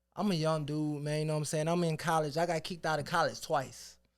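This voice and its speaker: A man with an American accent, very fast and monotone, fairly high-pitched, with flat intonation, in a very clean recording with a silent background. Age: 30s. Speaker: rapper and record label owner. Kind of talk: casual interview chat.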